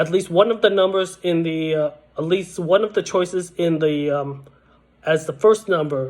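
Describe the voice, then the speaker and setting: A man with a high pitch speaks at a fairly slow pace, using ordinary pitch variation. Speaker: online video creator giving game show tips. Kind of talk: casual tutorial monologue. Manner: halting, many fillers and restarts; slow, lagging.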